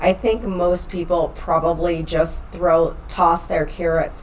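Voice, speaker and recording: A woman with a fairly low voice speaks at a fairly slow pace, with audible room echo and noticeable background noise. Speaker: online health and fitness coach. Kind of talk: podcast tutorial. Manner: casual, chatty.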